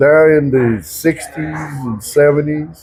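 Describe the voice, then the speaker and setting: Here a man speaks with an American accent at medium pitch. Noticeable background noise is present. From Oklahoma. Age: 70s. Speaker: veteran pool player. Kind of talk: casual interview.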